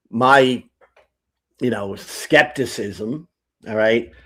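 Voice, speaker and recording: In a very clean recording with a silent background, a man with an American accent speaks at a very slow pace with ordinary pitch variation. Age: 60s. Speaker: atheist youtuber. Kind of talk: debate-style conversation on a livestream. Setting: live stream. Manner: halting.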